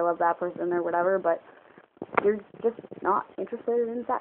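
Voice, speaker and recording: A woman mumbles at a very fast pace in a fairly low voice with fairly even intonation over light background noise. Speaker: vlogger. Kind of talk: casual talk to camera. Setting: low-quality phone recording. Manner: mumbling, rambling. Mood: calm, opinionated. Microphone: phone near.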